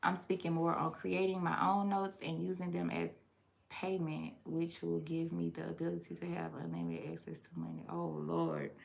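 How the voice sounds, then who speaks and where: With a Louisiana accent, a woman speaks at a moderate pace in an animated tone, her loudness swinging widely. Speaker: online educator on consumer law. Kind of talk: live stream Q&A. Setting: live stream.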